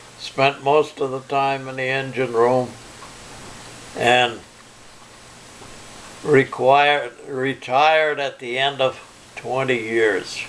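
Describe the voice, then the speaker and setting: Against noticeable background noise, a man at a medium pitch talks at a very slow pace. His intonation is monotone and flat, with long, frequent pauses. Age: 80s+. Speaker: Navy veteran, retired electrician. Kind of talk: interview answer.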